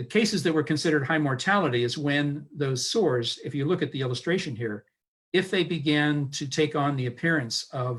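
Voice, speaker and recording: At a rather brisk pace, a slightly breathy voice talks with typical rises and falls in pitch. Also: man, fairly high pitch for a man. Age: 60s. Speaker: historian. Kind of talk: lecture. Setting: online live stream.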